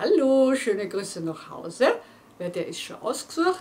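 Over light background noise, a woman keeps to a moderate pace. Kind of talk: casual presentation to viewers. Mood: warm, cheerful. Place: studio.

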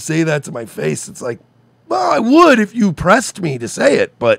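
Against a quiet background, a man talks at a moderate pace with vocal fry, the sound dry with no echo. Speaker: podcast co-host. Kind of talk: casual commentary rant. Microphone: studio mic.

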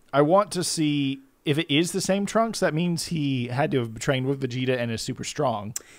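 With a plain, everyday voice, a man speaks at a moderate pace with hardly any pauses, his pitch fairly high and his intonation lively. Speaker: podcast co-host. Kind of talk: casual chat.

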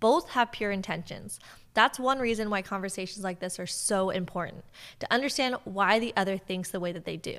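A woman talks fairly quickly with ordinary pitch variation against a quiet background. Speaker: podcast host. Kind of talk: episode introduction monologue. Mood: calm, earnest, persuasive. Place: home room. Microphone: studio mic.

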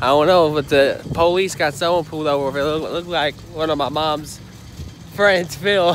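A man speaks at a moderate pace with fairly even intonation, the sound dry with no echo over light background noise. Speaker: vlogger. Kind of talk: casual vlog chat. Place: street. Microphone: phone near.

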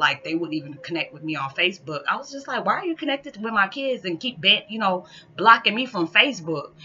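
The pace is very fast. A woman is the one talking. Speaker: spiritual vlogger. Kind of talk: casual vlog chat, storytelling. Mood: amused, laughing at times. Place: home room. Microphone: webcam.

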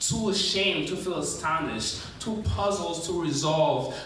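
The speaker has an American accent and talks at a fairly slow pace with ordinary pitch variation. Audible room echo and light background noise surround the voice. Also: man. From New York City, USA. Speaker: spoken word poet. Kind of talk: spoken word poetry performance. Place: stage.

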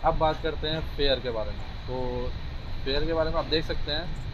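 A man speaks at a moderate pace. Noticeable background noise can be heard. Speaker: travel vlogger. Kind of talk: casual vlog chat. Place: train. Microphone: lapel.

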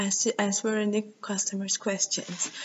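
Over light background noise, a woman speaks at a fairly slow pace with a Turkish accent. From Turkey. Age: 20s. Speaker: university student. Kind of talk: video CV self-introduction. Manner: halting. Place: meeting room. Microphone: webcam.

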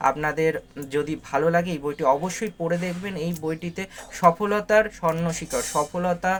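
A man talks in a high voice. His intonation stays fairly even. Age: 40s. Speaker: book reviewer and art teacher. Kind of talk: book review monologue. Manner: halting.

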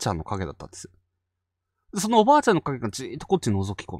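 The voice belongs to a man. It comes across dry and close-miked, free of any echo. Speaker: ghost story channel host. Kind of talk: casual chat. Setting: online live stream.

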